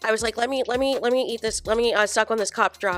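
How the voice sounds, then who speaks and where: Against music in the background, a woman with a fairly high pitch speaks at a very fast pace with fairly even intonation. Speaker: reality TV commentary youtuber. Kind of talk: casual vlog chat. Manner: repetitive, stammering.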